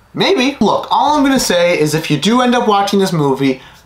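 A man's voice carries audible room echo as he talks at a moderate pace. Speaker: video creator. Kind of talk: casual vlog review chat. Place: home room.

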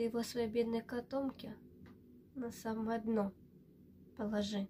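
Her pace is very slow and her fairly high-pitched voice holds a monotone, flat intonation. Light background noise sits behind this woman. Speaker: student of a city school of artistic word (recitation). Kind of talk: poetry reading. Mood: tender, quietly emotional. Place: home room. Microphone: webcam.

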